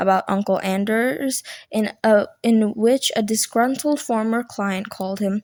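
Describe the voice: Someone reads aloud. The delivery is plain.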